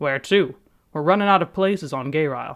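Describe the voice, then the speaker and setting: In a put-on character voice, a woman growls at a fairly quick pace, gruff and very deep in pitch, with ordinary pitch variation. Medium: read story. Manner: coarse, rough grammar.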